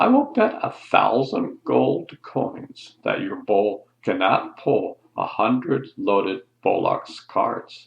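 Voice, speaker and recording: In a put-on character voice, a man talks at a very slow pace with hardly any pauses. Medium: read story.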